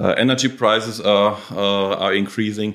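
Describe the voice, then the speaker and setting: This man has an ordinary speaking voice, fairly low in pitch, and talks at a fairly slow pace. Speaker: podcast host. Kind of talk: professional interview, podcast.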